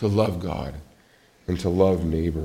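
A man's moderate-paced speech carries audible echo from the room. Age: 40s. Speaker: pastor. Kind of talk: sermon.

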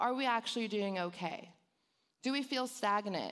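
On a very clean recording with a silent background, a woman with a Californian accent talks in an animated tone at a moderate pace, her fairly high pitch showing ordinary pitch variation. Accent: Californian Valley girl. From Los Angeles, San Fernando Valley. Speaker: church youth director. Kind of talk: sermon. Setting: church with congregation.

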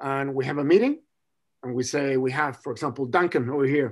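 Against a quiet background, a man with a Spanish accent speaks at a fairly quick pace and a fairly high pitch. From Chile. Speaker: rugby scrum coach. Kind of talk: casual interview chat.

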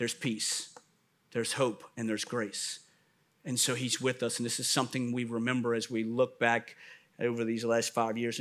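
His voice sits at a medium pitch. The man's delivery moves at a moderate pace. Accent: New Orleans. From US South, New Orleans. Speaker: pastor. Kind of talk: sermon.

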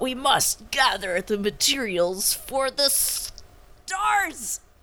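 This put-on character voice sounds female and high-pitched, drawn out at a very slow pace with very wide pitch swings. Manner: dramatic.

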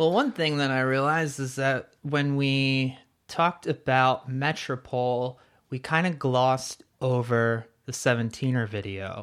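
This man has an unremarkable speaking voice at a medium pitch, with fairly even intonation. He talks at a fairly slow pace against a quiet background. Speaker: podcast host. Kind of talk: casual chat.

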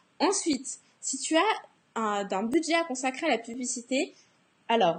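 A woman's high-pitched voice at a very slow pace, with very wide pitch swings, over a quiet background. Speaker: blogging coach and podcast host. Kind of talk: Facebook Live tutorial talk. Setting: Facebook Live broadcast.

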